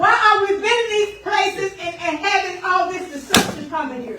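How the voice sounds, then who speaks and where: The speaker talks with a Southern US accent. Noticeable background noise runs behind the voice. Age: 60s. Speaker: local resident. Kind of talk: public comment. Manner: halting.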